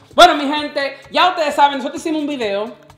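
A man speaks with lively intonation in a room with audible echo. Faint music plays in the background. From Dominican Republic. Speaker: vlogger host. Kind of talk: casual talk to camera. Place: home room.

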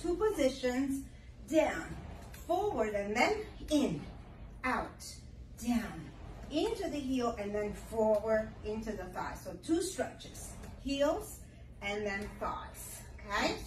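A high-pitched woman speaks at a very slow pace with long, frequent pauses, amid audible room echo and light background noise. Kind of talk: tutorial. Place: gym. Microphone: camera far.

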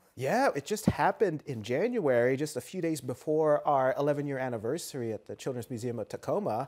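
Lively intonation at a moderate pace, quiet background. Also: man. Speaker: guest. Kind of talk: interview answer. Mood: cheerful, smiling. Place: studio.

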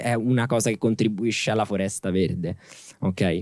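Over a quiet background, a man with a fairly low voice speaks at a fairly quick pace in a dry sound with no echo. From Italy. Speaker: son of a journalist; interviewee, son of journalist. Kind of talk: interview before live audience. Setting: stage with audience. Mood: calm, reflective. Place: garden. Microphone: handheld.

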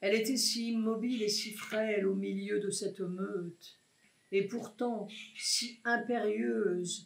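The voice reads in an unforced way.

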